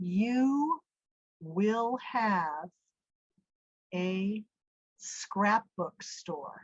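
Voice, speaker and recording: Using a put-on character voice, a woman booms with lively intonation at a medium pitch. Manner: commanding, declarative.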